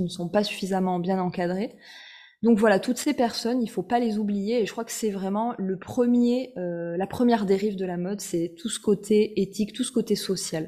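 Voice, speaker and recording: A woman at medium pitch talks at a fairly quick pace with fairly even intonation in a normal speaking voice. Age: 30s. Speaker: fashion blogger and author. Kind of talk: interview.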